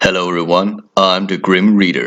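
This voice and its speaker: A man speaks with a very deep, low pitch. His pace is fairly slow. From Denmark. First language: Danish. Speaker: horror storyteller. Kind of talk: casual storytelling. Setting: phone call with brother.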